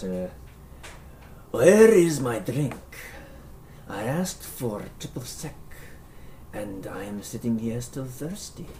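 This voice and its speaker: A growling, put-on character voice at a low-to-middle pitch crawls along at a very slow pace with long, frequent pauses and clear background noise. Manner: irritated, demanding.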